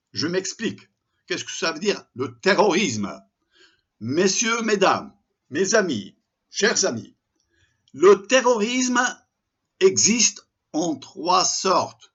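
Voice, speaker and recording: Here a man speaks high for his sex, at a very slow pace. His pitch swings very widely. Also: long, frequent pauses, big swings in loudness. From Morocco, Tangier. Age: 70s. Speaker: commentator. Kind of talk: open letter monologue. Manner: impassioned.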